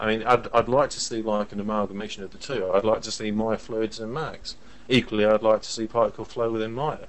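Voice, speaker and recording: A man with an English accent talks at a very fast pace. His pitch is medium and his intonation flat and monotone. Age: 30s. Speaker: visual effects director. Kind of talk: casual chat.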